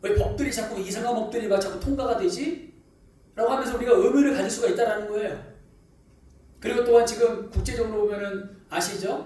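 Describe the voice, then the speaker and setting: High-pitched man at a moderate pace, lively intonation, noticeable background noise. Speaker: pastor. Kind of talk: sermon.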